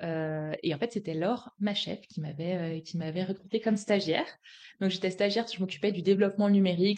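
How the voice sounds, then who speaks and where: A woman talks at a moderate pace and medium pitch. Her tone is dark and mellow. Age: 30s. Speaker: company co-founder. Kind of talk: live-stream interview chat. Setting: live video stream. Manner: hesitant, many fillers.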